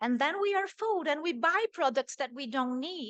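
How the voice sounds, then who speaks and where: A woman in a Portuguese accent, with lively intonation. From Brazil. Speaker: microbiologist, visiting professor. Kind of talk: lecture.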